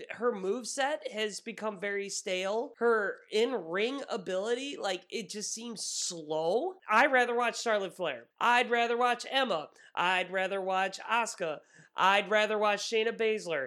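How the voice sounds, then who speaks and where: Raising and projecting his voice, a man with a high pitch and a bright, sharp tone sounds animated, speaking at a fairly slow pace with ordinary pitch variation. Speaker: wrestling podcast co-host. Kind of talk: casual banter podcast chat. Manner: animated, sarcastic; mock ring-announcer bombast.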